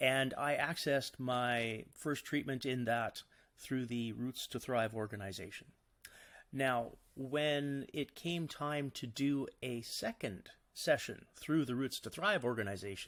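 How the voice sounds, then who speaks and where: An unremarkable speaking voice with a Canadian accent moves at a fairly slow pace with ordinary pitch variation, in a very clean recording with a silent background. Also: man, medium pitch for a man. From Canada. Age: 50s. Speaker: cancer patient and psilocybin therapy advocate. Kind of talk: podcast interview answer.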